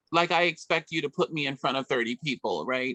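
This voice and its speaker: With a New York accent, a woman speaks in a bright, sharp tone with ordinary pitch variation. The sound is dry and close, with no echo. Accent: New York American. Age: 60s. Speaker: community organization director. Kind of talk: radio interview.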